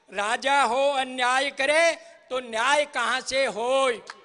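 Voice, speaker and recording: Against noticeable background noise, a raised, projected voice carries with fairly even intonation. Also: man. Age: 70s. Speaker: political party worker. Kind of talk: political rally speech. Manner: rhetorical, declamatory.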